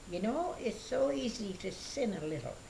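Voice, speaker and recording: There is audible room echo around a woman's voice. Noticeable background noise runs underneath. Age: 80s+. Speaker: elderly church member. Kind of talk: interview testimony. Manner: halting.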